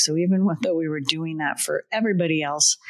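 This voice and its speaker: Here a woman with a fairly low pitch and ordinary pitch variation uses a plain, everyday voice. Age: 60s. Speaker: podcast host, business consultant. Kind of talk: podcast conversation, storytelling.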